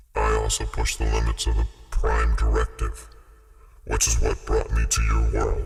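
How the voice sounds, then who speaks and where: Over loud music in the background, a man performs a put-on character voice, pitched very deep and low. His loudness stays very even at a moderate pace. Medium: audio drama. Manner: calm, laconic, matter-of-fact.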